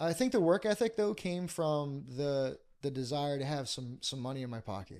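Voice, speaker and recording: A man's fairly high-pitched voice with a Philadelphia accent. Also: lively intonation, moderate pace, very clean recording, silent background. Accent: Philadelphia-area American. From Bucks County, Pennsylvania. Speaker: pastor. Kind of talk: podcast interview, life story. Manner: hesitant, many fillers.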